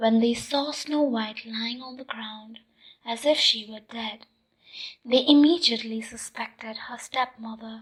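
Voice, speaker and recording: Soft-spoken, this speaker moves along at a fairly slow pace. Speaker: ASMR storyteller. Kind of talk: sleep story.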